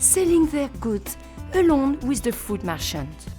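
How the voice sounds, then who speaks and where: A woman talks fairly slowly while music sounds in the background. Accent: French. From France. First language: French. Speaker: chef. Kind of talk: travel segment voice-over narration. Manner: bubbly.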